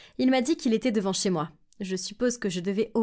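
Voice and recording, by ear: The pitch shifts in an ordinary way as the text is read aloud in a natural voice.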